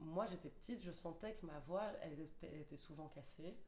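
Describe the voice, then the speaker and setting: A woman's fairly low-pitched voice at a fairly quick pace, with ordinary pitch variation and audible room echo. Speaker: primary school teacher. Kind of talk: casual chat. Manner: hesitant, many fillers.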